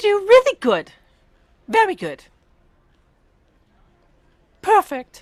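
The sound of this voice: In a put-on character voice, the speaker squeaks at an extremely high pitch. The pace is fairly slow, broken by long, frequent pauses.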